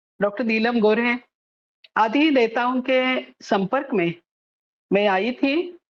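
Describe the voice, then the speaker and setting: With a non-native accent, the speaker's pitch moves up and down in an ordinary way. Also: woman. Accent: non-native Hindi, self-described weak Hindi. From Maharashtra, Pune. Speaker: social activist and author. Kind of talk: lecture. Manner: halting, with filler sounds.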